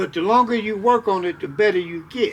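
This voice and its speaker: This man speaks at a high pitch. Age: 70s. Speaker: elder sharing life advice. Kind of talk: casual interview conversation. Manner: halting, repeats words.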